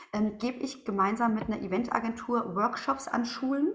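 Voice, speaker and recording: A woman speaks at a moderate pace in a fairly high voice with lively intonation. Noticeable background noise runs underneath. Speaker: former teacher, now coach and speaker. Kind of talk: interview. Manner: animated.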